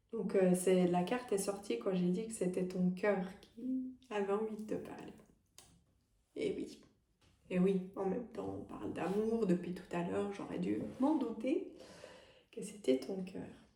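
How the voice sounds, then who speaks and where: A soft-spoken woman at a medium pitch with ordinary pitch variation, dark and mellow with vocal fry, very slow with long, frequent pauses, in audible room echo. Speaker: medium and energy healer. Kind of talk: tarot guidance reading. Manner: hesitant, many fillers.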